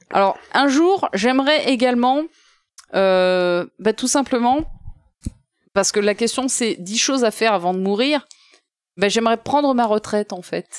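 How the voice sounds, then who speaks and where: A woman with a fairly high pitch talks at a fairly slow pace with long, frequent pauses, her tone animated and her intonation lively, in a dry, close sound with no echo. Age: 30s. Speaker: guest co-host. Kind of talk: casual chat.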